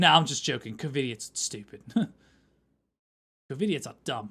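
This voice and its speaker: A man puts on a raspy character voice at a medium pitch. His intonation is lively and his pace moderate. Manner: joking.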